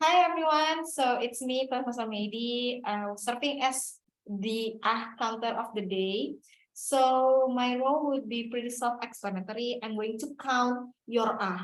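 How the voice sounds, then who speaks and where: A woman's high voice in an Indonesian accent, at a fairly slow pace with ordinary pitch variation. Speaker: toastmasters club member, ah counter. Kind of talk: club meeting role explanation. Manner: loud.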